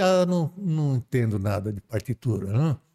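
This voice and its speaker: A man talks with very wide swings in pitch. The recording is very clean and dry, with a silent background and a close sound free of echo. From Brazil, São Paulo coast. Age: 70s. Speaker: spiritist volunteer, retired railway worker. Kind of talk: casual interview storytelling. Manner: halting, many repetitions.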